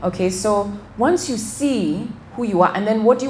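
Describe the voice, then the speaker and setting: Amid noticeable background noise and audible room echo, a woman with a medium pitch talks at a moderate pace with lively intonation. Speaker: financial wellness speaker. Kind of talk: motivational talk. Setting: event with audience.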